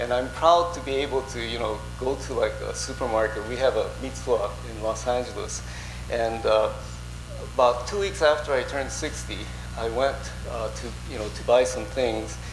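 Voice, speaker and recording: Music plays in the background as a man talks at a moderate pace with audible room echo and long, frequent pauses. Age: 60s. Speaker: Buddhist minister. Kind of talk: sermon. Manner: halting, many fillers.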